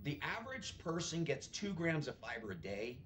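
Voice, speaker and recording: Over noticeable background noise, a man with a fairly high pitch speaks in an animated tone. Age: 60s. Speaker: bodybuilder turned food entrepreneur. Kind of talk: podcast interview. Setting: podcast.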